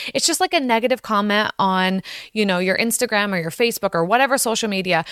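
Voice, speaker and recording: On a very clean recording with a silent background and a dry, close sound with no echo, a woman at a medium pitch speaks in an animated tone with ordinary pitch variation. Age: 40s. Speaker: podcast host. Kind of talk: motivational monologue.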